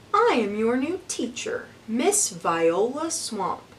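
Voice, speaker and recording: Using a put-on character voice, a woman speaks at a high pitch and a very slow pace with very wide pitch swings, over clear background noise. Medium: read story. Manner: harsh, snapping.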